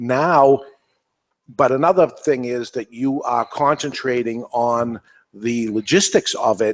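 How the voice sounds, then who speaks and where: A man with a New England accent speaks at a medium pitch and a very slow pace. His pitch varies in an ordinary way, and the sound is dry and close with no echo. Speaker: podcast host. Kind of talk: panel discussion.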